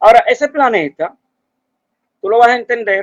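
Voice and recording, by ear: This man speaks at a moderate pace with an extremely high pitch and ordinary pitch variation, in a dry, close sound with no echo.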